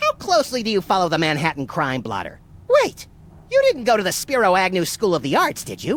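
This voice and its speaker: In a put-on character voice at middle pitch, the speaker moves at a fairly quick pace. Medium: video game.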